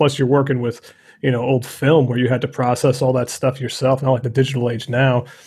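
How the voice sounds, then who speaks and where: At a very fast pace, a man talks in a somewhat breathy voice. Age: 30s. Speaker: podcast host, photographer. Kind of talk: interview.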